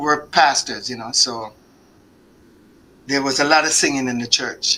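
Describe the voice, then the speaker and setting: This is a man. He speaks with a Jamaican accent. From Jamaica, Kingston. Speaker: singer. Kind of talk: interview. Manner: halting.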